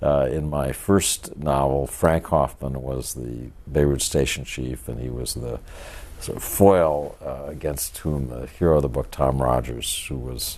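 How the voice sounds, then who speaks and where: Through noticeable background noise, a man with a very deep, low pitch talks with fairly even intonation and big swings in loudness. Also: fairly slow pace. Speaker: author. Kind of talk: interview answer.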